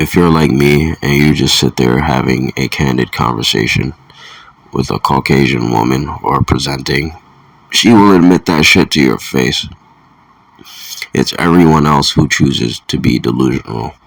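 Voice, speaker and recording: Noticeable background noise sits behind a man's voice. His pitch is very deep and low, with ordinary variation. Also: moderate pace. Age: 30s. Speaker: solo video commentator. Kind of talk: casual monologue rant. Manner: halting, repeats words.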